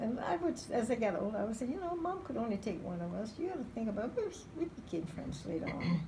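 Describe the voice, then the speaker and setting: A woman speaks at a fairly quick pace and fairly high pitch. Her voice makes very wide pitch swings against noticeable background noise. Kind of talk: interview answer.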